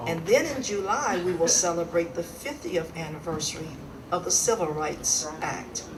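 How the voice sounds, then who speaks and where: With an American accent, a woman with a fairly low pitch speaks at a moderate pace and with lively intonation, amid audible room echo and noticeable background noise. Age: 70s. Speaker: civil rights activist, award recipient. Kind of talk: acceptance speech.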